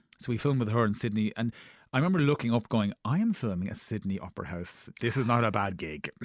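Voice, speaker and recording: A man with an Irish accent talks very fast at medium pitch with lively intonation. The sound is dry and close, with no echo. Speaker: TV producer. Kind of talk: casual interview chat.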